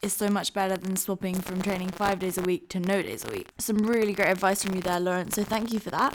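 Fairly even intonation comes at a fairly quick pace. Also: woman. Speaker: podcast host and fitness influencer. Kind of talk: casual interview.

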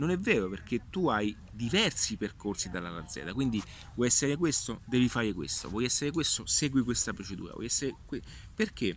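Very wide pitch swings from a man at a fairly quick pace. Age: 40s. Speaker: digital marketing consultant. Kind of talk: casual vlog monologue. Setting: outdoors in a park. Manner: halting, many fillers.

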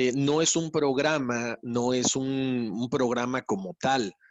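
A man's voice at medium pitch. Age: 40s. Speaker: radio host and podcast producer. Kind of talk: interview conversation. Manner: halting with repetitions.

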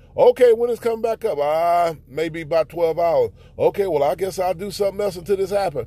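A man talks at a high pitch in a dark, mellow tone. He moves at a fairly quick pace with ordinary pitch variation. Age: 40s. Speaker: podcast preacher. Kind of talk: sermon. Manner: halting.

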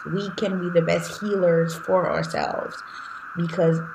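A woman with a Haitian accent over noticeable background noise. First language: Haitian Creole. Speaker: life coach. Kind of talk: interview conversation.

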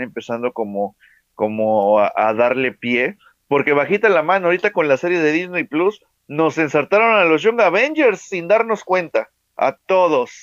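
A man in a normal speaking voice talks at a fairly slow pace with lively intonation, in a dry, close sound with no echo. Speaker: podcast co-host. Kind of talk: casual chat.

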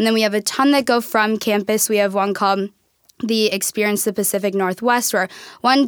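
In a plain, everyday voice with an American accent, the speaker talks at a fairly quick pace with fairly even intonation. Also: woman. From Minnesota, US Upper Midwest. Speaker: college student. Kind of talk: casual interview. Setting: studio.

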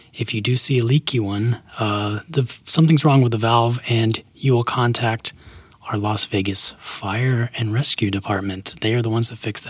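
A man's somewhat breathy voice at medium pitch, with fairly even intonation and a moderate pace. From Alabama. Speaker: podcast co-host for a city government. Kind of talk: casual scripted explainer chat.

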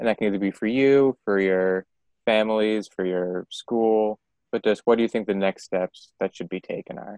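A man with a plain, everyday voice speaks at a moderate pace in a fairly low pitch with fairly even intonation. The sound is dry and close, with no echo. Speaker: podcast interviewer. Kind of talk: casual interview.

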